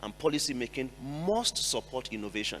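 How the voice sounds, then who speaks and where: A man with a medium pitch talks at a very fast pace. His tone is bright and sharp, with vocal fry. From Nigeria. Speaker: NGO executive director, panelist. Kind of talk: panel discussion.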